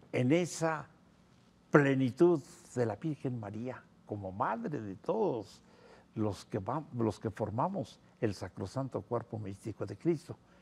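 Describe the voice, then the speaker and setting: Speaking at a very slow pace with long, frequent pauses, a man uses a somewhat breathy, medium-pitched voice and lively intonation. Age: 70s. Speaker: priest and theologian. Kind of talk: TV interview.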